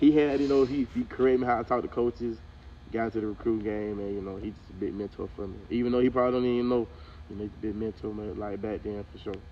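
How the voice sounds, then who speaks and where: Speaking very fast with a Southern US accent, this voice has big swings in loudness and ordinary pitch variation. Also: man, medium pitch for a man. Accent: Southern country speech. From US South, central Georgia. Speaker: college football player. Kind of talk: casual interview. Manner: casual, halting with many repetitions.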